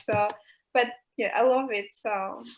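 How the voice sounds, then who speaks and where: A woman is speaking. She talks with an American accent. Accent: American-sounding English. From Albania, raised in Greece. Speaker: goalball player. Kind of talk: talk show interview.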